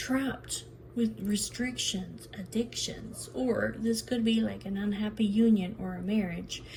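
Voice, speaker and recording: Amid audible room echo and noticeable background noise, a woman speaks at a fairly slow pace. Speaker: tarot reader. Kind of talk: tarot reading monologue. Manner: repetitive, chatty.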